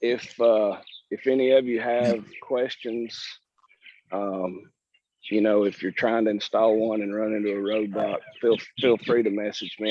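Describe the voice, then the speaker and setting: The delivery comes in a Southern US accent with fairly even intonation. The pace is fairly slow. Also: man. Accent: Southern drawl. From Alabama, US South. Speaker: purple martin landlord presenter. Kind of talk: casual chat. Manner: halting, repeats words.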